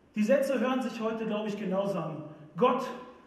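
A man speaks in a high voice with ordinary pitch variation, and the room echo is audible. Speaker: preacher. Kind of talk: church sermon. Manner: casual, humorous, conversational. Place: stage.

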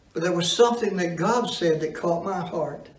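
A man's voice with audible room echo. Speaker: preacher. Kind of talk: sermon. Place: church.

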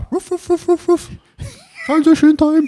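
Delivered at a moderate pace, a put-on character voice holds a high pitch with monotone, flat intonation. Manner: barking, playful.

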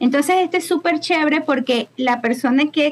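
A woman with a Maracaibo accent at a moderate pace, ordinary pitch variation, and light background noise. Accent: Venezuelan Maracucho Spanish. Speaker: immigration consultant. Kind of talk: casual interview. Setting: video call. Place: home room. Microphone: video call.

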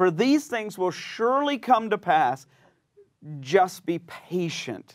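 Pitch swings very widely as a man talks at a fairly slow pace. Behind him, all is quiet. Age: 50s. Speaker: pastor. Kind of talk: bible teaching. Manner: animated. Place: studio. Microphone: lapel.

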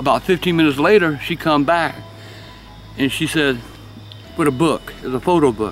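Someone with a Southern US accent speaks at a moderate pace. The sound is dry with no echo, and music plays in the background. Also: man. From South Carolina. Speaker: storyteller. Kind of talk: storytelling. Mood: calm, hushed, eerie telling. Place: garden. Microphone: phone near.

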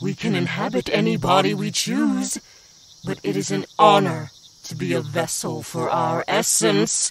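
At a moderate pace, a man performs a put-on character voice with a fairly high pitch. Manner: commanding, menacing.

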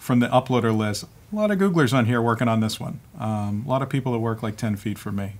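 A man speaking at a fairly quick pace. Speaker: developer show host. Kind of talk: tutorial. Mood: relaxed, joking. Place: studio.

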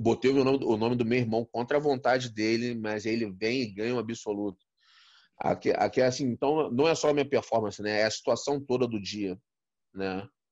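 A man talks at a moderate pace with ordinary pitch variation. The sound is dry with no echo, over a quiet background. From Brazil. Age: 40s. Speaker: interview guest, martial arts coach. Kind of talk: interview, personal storytelling. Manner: halting, many repetitions. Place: home room. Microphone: phone near.

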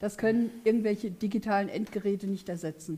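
Her tone dark and mellow, a woman talks at a moderate pace with ordinary pitch variation. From Königstetten, Hesse; Hesse. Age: 50s. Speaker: politician. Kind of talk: election debate. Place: studio.

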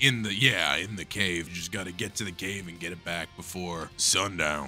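Clear music plays in the background as a man performs a put-on character voice. His pitch is very deep and low, and his pace is moderate. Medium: actual play. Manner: casual, offhand, slightly rambling.

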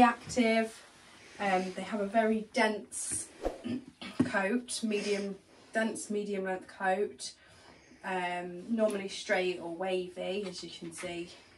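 A woman speaks at a very slow pace. There is light background noise. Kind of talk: tutorial. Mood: warm, relaxed. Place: shop. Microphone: camera far.

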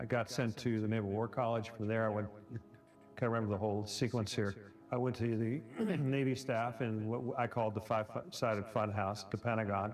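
At a fairly quick pace, a man talks at a medium pitch with fairly even intonation and very even loudness, over noticeable background noise. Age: 60s. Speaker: retired naval officer, veteran. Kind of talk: testimony.

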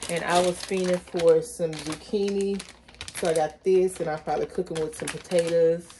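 A woman's fairly low voice holds a monotone, flat intonation against noticeable background noise. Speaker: haul vlogger. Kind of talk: casual vlog chat. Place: kitchen. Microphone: phone near.

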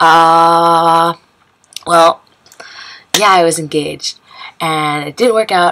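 A woman with a fairly low pitch speaks in an American accent at a very slow pace. Her long, frequent pauses come over light background noise. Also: fairly even intonation. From United States. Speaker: expat sharing her story. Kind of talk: casual talk to camera. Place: home room. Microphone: webcam.

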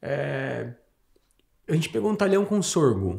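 Speaking at a fairly slow pace, a man with a dark, mellow tone and vocal fry makes very wide pitch swings. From Mato Grosso do Sul, Brazil. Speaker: farmer. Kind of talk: casual chat.

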